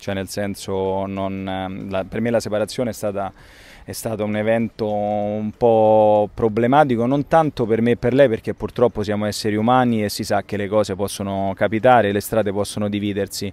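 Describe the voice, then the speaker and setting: A man with a dark, mellow tone and fairly low pitch, moderate in pace and fairly even in intonation, in a dry sound with no echo. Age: 30s. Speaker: actor and radio host; actor, radio host. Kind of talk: interview about faith. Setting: outdoors by a lake. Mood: reflective, personal, sincere. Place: waterside.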